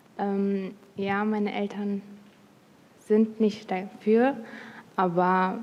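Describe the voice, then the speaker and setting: A woman speaks with monotone, flat intonation. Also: long, frequent pauses. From Turkish background. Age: 20s. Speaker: convert. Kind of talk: q&a at video meeting. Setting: video call.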